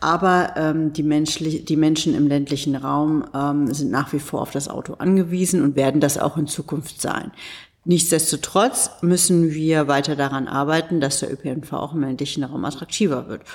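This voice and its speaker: A woman speaks in a very deep, low pitch with fairly even intonation, recorded very cleanly against a silent background. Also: moderate pace. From Berlin, Germany. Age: 40s. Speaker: politician. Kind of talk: interview. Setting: ministry office in Berlin. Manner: halting, many fillers.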